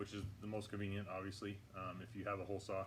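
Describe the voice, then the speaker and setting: A man talks at a very fast pace in a fairly low pitch, with audible room echo and noticeable background noise. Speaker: hydroponics gardening channel host. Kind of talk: tutorial. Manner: halting, many fillers; talking louder than usual. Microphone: poor audio, may sound quiet.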